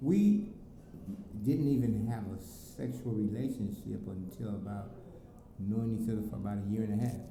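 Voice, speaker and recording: A man talks at a moderate pace with ordinary pitch variation and long, frequent pauses, amid audible room echo and noticeable background noise. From US Southwest, South Phoenix, Arizona. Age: 50s. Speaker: father of the channel owner. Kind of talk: casual interview. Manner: halting, with many fillers.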